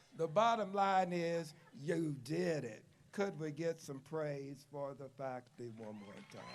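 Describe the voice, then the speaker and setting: Speaking in an Appalachian accent, a man with a fairly high pitch talks at a fairly slow pace, with lively intonation and big swings in loudness. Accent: Appalachian Southern US. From US South, southwest Virginia (Glade Spring). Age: 70s. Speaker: retired professor, commencement speaker. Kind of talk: commencement speech.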